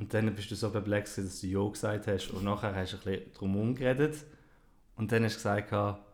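With a Swiss accent, a man speaks at a fairly low pitch and a fairly quick pace. Long, frequent pauses break up his speech. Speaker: podcast co-host. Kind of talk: casual chat. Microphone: new microphone.

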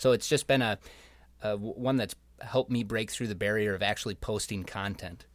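In a plain, everyday voice, a man with an American accent talks at a fairly quick pace and fairly low pitch, his intonation fairly even, on a very clean recording with a silent background. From Rochester, Minnesota. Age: 20s. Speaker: young professionals group member. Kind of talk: podcast interview.

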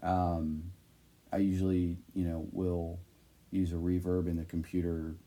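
Fairly slow and broken by long, frequent pauses, the voice has a dark, mellow tone and a monotone, flat intonation. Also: man, very deep, low pitch for a man. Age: 20s. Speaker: music producer. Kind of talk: interview. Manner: halting, many fillers.

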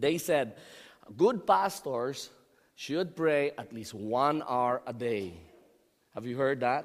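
With a Filipino accent, a man talks at a very slow pace using lively intonation. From Philippines. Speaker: pastor. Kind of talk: sermon. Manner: halting, repeats words.

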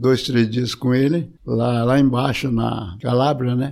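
The man's tone is dark and mellow. He talks fairly slowly. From São Paulo, Brazil. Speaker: retired entomology professor. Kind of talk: interview, life story.

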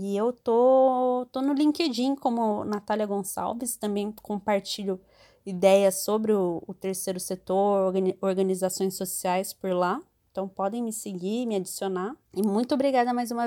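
This woman has an ordinary speaking voice at a medium pitch, talking at a fairly slow pace with ordinary pitch variation on a very clean recording with a silent background. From interior of São Paulo state, Brazil. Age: 30s. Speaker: NGO worker. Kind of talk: casual chat.

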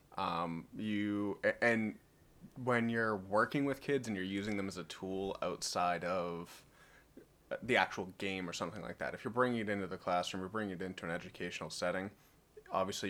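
A man's fairly low-pitched, normal speaking voice, fairly quick pace and ordinary pitch variation, on a very clean recording with a silent background. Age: 30s. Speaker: gamer and podcast guest. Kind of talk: casual chat.

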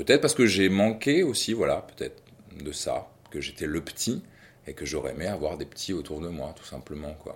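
With a silent background on a very clean recording, a man speaks at a moderate pace while his loudness swings widely. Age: 40s. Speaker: father. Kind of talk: testimony. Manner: halting.

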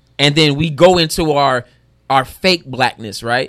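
A man's plain, everyday voice, fairly high in pitch, with ordinary pitch variation. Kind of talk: casual chat. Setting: restaurant recording.

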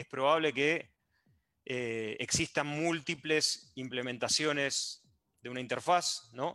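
A man speaks in an Argentine accent with a bright, sharp tone. His pace is fairly slow against a quiet background. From Argentina. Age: 30s. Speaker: software developer. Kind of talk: casual chat. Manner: halting.

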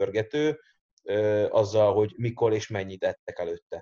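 A man speaks at a fairly slow pace in a fairly low, somewhat breathy voice. His tone is dark and mellow, and the background is quiet. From Hungary, Érd. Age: young. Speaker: strength coach. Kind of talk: casual chat.

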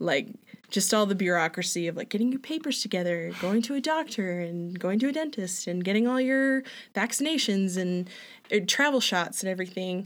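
A woman with a Canadian accent talks at medium pitch and a fairly quick pace. Hers is a plain, everyday voice with lively intonation. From Alberta, Canada. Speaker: returned missionary, front desk worker. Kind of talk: casual interview.

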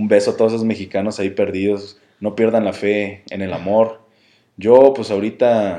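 A man's fairly low, dark, mellow voice with fairly even intonation. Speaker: podcast host. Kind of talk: casual chat. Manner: stammering, repeats words.

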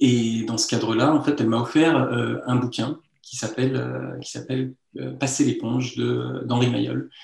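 A man talks at a moderate pace. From France, Lyon. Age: 30s. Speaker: magician. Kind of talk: interview. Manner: halting.

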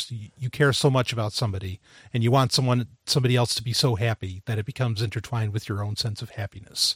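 In a dry, close recording with no echo and a silent background, a man at a medium pitch speaks fairly quickly in a somewhat breathy voice with fairly even intonation. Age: 30s. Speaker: podcast co-host. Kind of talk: casual chat. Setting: studio. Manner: halting.

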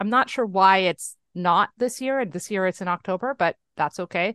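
A woman with a plain, everyday voice and lively intonation is heard against a quiet background, in a dry, close sound with no echo. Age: 30s. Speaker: podcast co-host. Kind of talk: casual chat. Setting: video call.

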